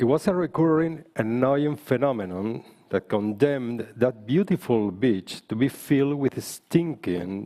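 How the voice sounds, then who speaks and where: A man with a Spanish accent, dark and mellow in tone, medium in pitch, with lively intonation, a fairly slow pace and hardly any pauses. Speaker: politician. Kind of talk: panel speech.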